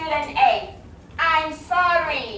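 A woman uses a raised, projected voice against noticeable background noise. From South Africa. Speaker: English teacher. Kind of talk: classroom teaching to young learners. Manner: slow, simple words.

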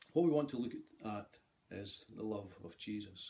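The tone is dark and mellow. The pace is moderate. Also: man. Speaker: lay preacher. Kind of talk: sermon. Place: home room. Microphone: phone near.

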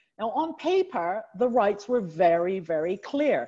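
A woman with a medium pitch and a dark, mellow tone speaks at a fairly slow pace with lively intonation. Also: quiet background. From Canada, Chinese heritage. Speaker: banking lawyer. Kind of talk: panel discussion. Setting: Zoom video call. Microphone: earbuds.

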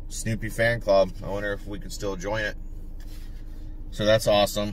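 A man talks at a moderate pace in a dry recording with no echo and light background noise. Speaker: reseller vlogger. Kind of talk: casual vlog chat. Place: car. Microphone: phone near.

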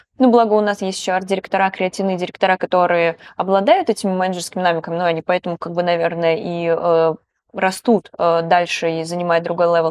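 Here is a woman with a normal speaking voice, fairly low in pitch and fairly even in intonation. She talks at a fairly quick pace, and the sound is dry with no echo. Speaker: podcast host. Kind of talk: interview. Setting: studio. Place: studio. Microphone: lapel.

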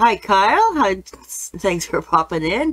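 The pace from this woman is fairly slow, and her pitch swings very widely. The background is quiet. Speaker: painting teacher. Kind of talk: tutorial. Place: studio. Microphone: webcam.

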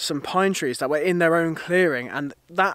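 A man speaks with ordinary pitch variation, the sound dry with no echo and the background quiet. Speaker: landscape photographer vlogger. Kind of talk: casual vlog chat. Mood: upbeat, laughing. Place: forest. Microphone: phone near.

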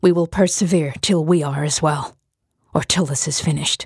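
In a put-on character voice, raspy and hoarse, the speaker talks at a middle pitch and a moderate pace. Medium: read story. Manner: curt, stern.

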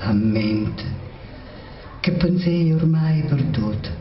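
A woman talks at a very slow pace with a very deep, low pitch and lively intonation. Light background noise and audible room echo surround her. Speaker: poet. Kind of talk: poetry reading. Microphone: podium.

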